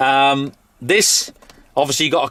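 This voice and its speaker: A man speaks with a British accent at a fairly high pitch. His tone is bright and sharp. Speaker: tractor reviewer. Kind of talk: product walkthrough review. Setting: inside a tractor cab. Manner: casual, with fillers.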